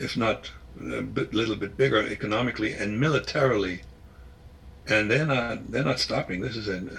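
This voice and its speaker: Using vocal fry and lively intonation, a man talks at a fairly quick pace and fairly low pitch, with long, frequent pauses. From Germany (East Germany). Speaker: former spy and author. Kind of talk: interview. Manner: halting, many repetitions.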